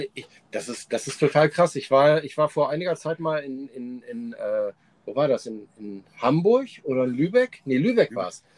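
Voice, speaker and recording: A man at a moderate pace, with big swings in loudness and very wide pitch swings. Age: 40s. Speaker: podcast co-host and fire performer. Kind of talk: casual chat.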